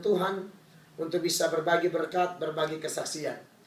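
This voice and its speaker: A man speaks in a high voice. His intonation is monotone and flat. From Indonesia, Kupang, East Nusa Tenggara (Timor). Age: 30s. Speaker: pastor. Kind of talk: testimony.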